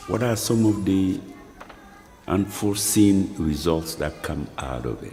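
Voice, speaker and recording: Over music in the background, a man with a very deep, low pitch talks at a fairly slow pace, with ordinary pitch variation and big swings in loudness. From Mali. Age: 70s. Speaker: professor and filmmaker. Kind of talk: film narration.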